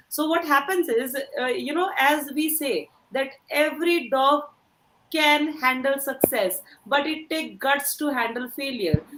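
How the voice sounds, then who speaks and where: With an Indian accent, a woman speaks slowly-ish, at a fairly slow pace, in a high pitch with ordinary pitch variation. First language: Hindi. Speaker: career coach. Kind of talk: motivational talk.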